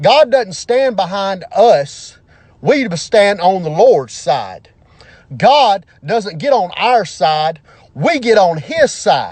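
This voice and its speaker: Here is a man with an Alabama accent and a high pitch. His tone is animated, and his pitch swings very widely. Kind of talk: impassioned monologue.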